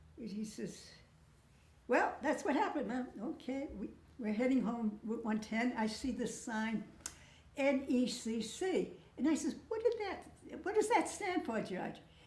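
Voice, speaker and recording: A woman with an American accent speaks at a high pitch, her voice swinging very widely, with long, frequent pauses. Noticeable background noise and audible room echo fill the recording. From Massachusetts (Lawrence, Merrimack Valley). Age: 80s+. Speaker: interviewee recounting family memories. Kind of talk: casual storytelling interview. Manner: halting, with false starts.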